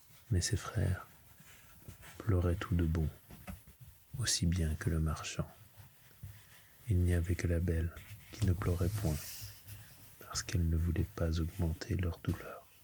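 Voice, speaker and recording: Soft-spoken speech at a fairly slow pace, with long, frequent pauses. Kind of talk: bedtime story reading, ASMR.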